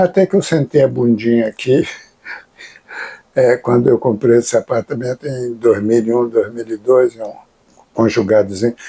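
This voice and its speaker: A man with a dark, mellow tone speaks at a medium pitch and a moderate pace with ordinary pitch variation and long, frequent pauses, in a dry, close sound with no echo. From Brazil, Rio de Janeiro. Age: 70s. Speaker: capoeira master and author. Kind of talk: interview. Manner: casual, slangy.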